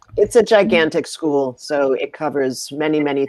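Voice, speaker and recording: A woman speaks with an American accent in a very deep, low pitch and a dark, mellow tone. Her pace is fairly slow, and her intonation is lively. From US Midwest, Minnesota. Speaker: actress. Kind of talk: casual chat.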